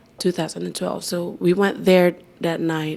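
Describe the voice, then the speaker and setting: Noticeable background noise fills the clip. Through it, a woman talks at a fairly low pitch. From Philippines, provincial. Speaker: nightclub MC. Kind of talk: podcast interview. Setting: hotel.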